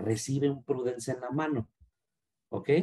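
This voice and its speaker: The man's voice is somewhat breathy and comes at a fairly slow pace. The sound is dry and close, with no echo. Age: 40s. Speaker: marketing director. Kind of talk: interview. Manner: halting, many repetitions.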